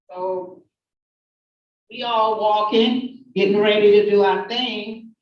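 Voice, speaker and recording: A woman talks very slowly, and audible room echo follows her words. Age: 50s. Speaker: activist giving testimony. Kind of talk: testimony. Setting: hearing room with audience.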